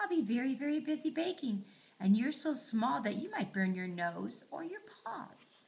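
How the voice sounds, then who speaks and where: A woman puts on a character voice pitched high, swinging her pitch very widely. She speaks at a moderate pace. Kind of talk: bedtime story. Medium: read story. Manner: gentle, motherly.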